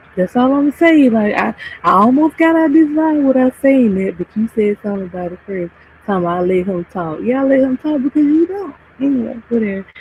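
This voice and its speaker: A soft-spoken woman talks at a moderate pace with very wide pitch swings. Noticeable background noise is present. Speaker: live streamer. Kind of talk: casual chat.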